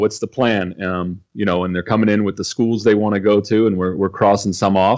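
In a plain, everyday voice with an American accent, a man talks at a fairly quick pace, keeping a fairly low pitch and fairly even intonation. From California. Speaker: baseball academy coach. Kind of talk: casual interview. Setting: video call.

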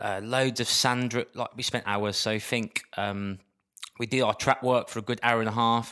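In a Birmingham accent, a man talks at a moderate pace with medium pitch and a flat, monotone delivery, recorded very cleanly over a silent background. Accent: Birmingham (Brummie). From Birmingham, England. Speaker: dancer and dietitian, former athlete. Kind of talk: casual interview chat.

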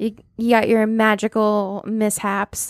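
A woman with an American accent speaks in an unremarkable speaking voice, her fairly high pitch held to fairly even intonation, on a very clean, silent recording with a dry, close sound and no echo. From Massachusetts, US. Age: 30s. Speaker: podcast host presenting the topic. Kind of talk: casual chat.

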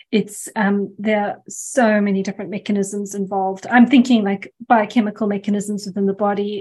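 The speaker is a woman with a somewhat breathy voice. Her pitch is medium. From South Africa. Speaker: podcast host. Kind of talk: podcast interview.

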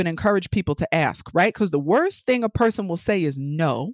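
A woman talks in an animated tone. The sound is dry and close with no echo, a very clean recording over a silent background. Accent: New York. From New York City. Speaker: business consultant. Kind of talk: casual interview.

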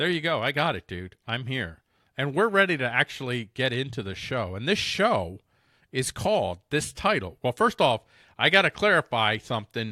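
A man with a bright, sharp tone at medium pitch speaks with very wide pitch swings, the very clean recording silent in the background and dry and close with no echo. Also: moderate pace. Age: 40s. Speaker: podcast host. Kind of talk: casual chat.

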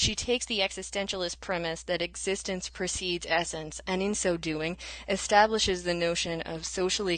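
Speaking with an American accent, a woman has an ordinary speaking voice. Her pitch is fairly low and her pace is moderate. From US South. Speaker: adjunct college instructor. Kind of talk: lecture-style explanation.

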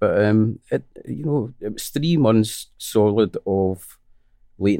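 A lively, up-and-down delivery with a Scottish accent. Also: man. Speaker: musician. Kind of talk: casual interview chat. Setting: in person, studio.

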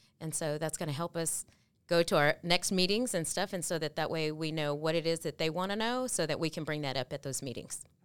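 With a Texan accent, a woman talks at a fairly quick pace in a very deep, low voice, using ordinary pitch variation. The recording is very clean, with a silent background. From Texas, Waco. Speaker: community outreach staff. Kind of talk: casual chat.

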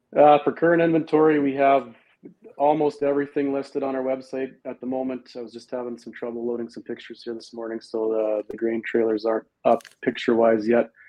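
This man has a plain, everyday voice, with a medium pitch, fairly even intonation and big swings in loudness. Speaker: truck and equipment dealer. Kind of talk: casual interview.

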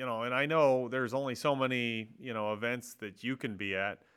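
A man's medium-pitched voice at a moderate pace, a normal speaking voice. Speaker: podcast host. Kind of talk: casual interview.

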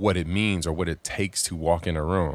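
Against a silent background in a very clean recording, a man with an American accent speaks at a moderate pace, his pitch very deep and his intonation monotone and flat. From Southern California. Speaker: podcast host, church leader. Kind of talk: interview conversation.

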